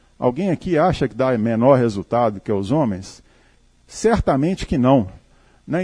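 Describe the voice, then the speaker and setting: Heard in a dry, close sound with no echo, a man with a dark, mellow tone swings his pitch very widely. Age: 50s. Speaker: company CEO. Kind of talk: talk to live audience. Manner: conversational, informal.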